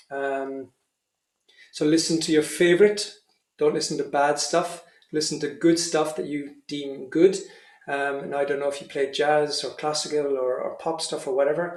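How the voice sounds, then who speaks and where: Fairly even intonation at a moderate pace, in audible room echo. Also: man, fairly high pitch for a man. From Ireland. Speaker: professional trumpeter and music teacher. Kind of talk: masterclass Q&A, teaching advice. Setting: remote video session. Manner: casual, hesitant with fillers and repetitions.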